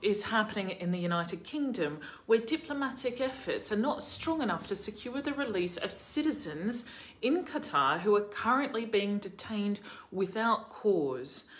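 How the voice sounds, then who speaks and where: A woman at a moderate pace, her pitch swinging very widely. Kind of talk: commentary. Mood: serious, concerned. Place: home room. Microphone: phone near.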